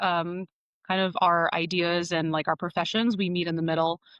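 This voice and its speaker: Monotone, flat intonation marks a woman's fairly low voice in an American accent. The sound is dry and close with no echo, against a quiet background. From Boston area. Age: 30s. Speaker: podcast host, physical therapist. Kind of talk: casual chat.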